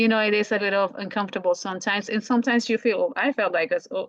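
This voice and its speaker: A woman speaks with a strong Colombian accent and ordinary pitch variation. The sound is dry and close with no echo, set against a quiet background. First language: Spanish. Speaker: language teacher. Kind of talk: podcast conversation. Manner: halting, many restarts.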